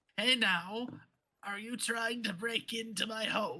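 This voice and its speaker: A man puts on a character voice that is high, raspy and creaky. He speaks at a fairly slow pace. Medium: actual play. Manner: nervous, evasive.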